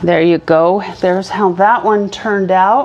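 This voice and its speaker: A woman's fairly even intonation over noticeable background noise. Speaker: church craft instructor. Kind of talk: tutorial. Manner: casual, hesitant with fillers.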